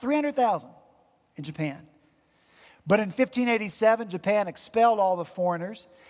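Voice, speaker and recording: A man's high-pitched voice with an Appalachian accent, lively in intonation, fairly slow, with long, frequent pauses. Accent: Southern US, Appalachian. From Appalachian mountains, US South. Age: 50s. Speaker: pastor. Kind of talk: sermon. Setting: church.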